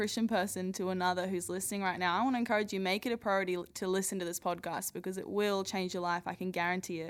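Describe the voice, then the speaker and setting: A very fast, enthusiastic woman's voice at a medium pitch, with an Australian accent. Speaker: podcast co-host introducing the show. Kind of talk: interview, enthusiastic intro.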